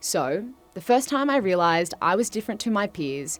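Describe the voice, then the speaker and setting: Over music in the background, a woman with an Australian accent talks at a medium pitch and moderate pace, her pitch swinging very widely. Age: 20s. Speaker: presenter and commentator. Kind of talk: event speech, personal storytelling.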